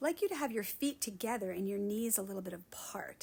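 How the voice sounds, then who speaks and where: A woman talks in an unremarkable speaking voice at a medium pitch. Her intonation is lively and her pace fairly quick. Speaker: Pilates instructor. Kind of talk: guided workout instruction.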